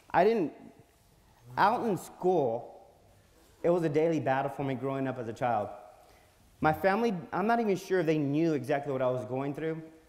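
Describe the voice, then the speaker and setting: A man with an American accent and a fairly high pitch speaks with lively intonation and long, frequent pauses, with audible room echo around him. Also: moderate pace. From South Texas, Alice near Corpus Christi. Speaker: magazine publisher and public speaker. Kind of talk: conference speech. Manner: halting, with repetitions and fillers.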